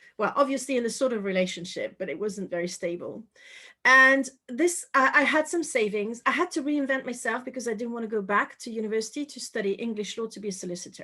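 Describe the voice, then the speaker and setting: Talking at a very fast pace, a woman with a French accent has a fairly high pitch, a bright, sharp tone and lively intonation, on a very clean recording with a silent background. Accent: French accent, fairly light. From France, Paris. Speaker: intuition coach and author. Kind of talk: interview.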